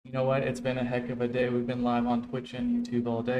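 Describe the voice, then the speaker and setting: A man speaks at a very fast pace in a medium pitch with fairly even intonation. Audible room echo surrounds his voice. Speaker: streamer and tutorial host. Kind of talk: tutorial.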